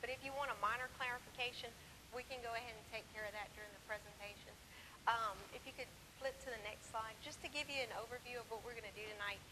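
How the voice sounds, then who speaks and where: Against noticeable background noise, a woman speaks very fast in a fairly high pitch with fairly even intonation. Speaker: parish planning official. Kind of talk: public presentation. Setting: public meeting with audience.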